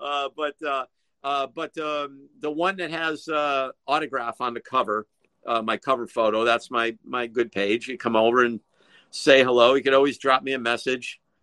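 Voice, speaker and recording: At a moderate pace, a man speaks at a medium pitch with ordinary pitch variation and a bright, sharp tone, in a dry, close recording with no echo. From Connecticut. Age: 60s. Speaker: rock guitarist. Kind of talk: interview. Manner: halting.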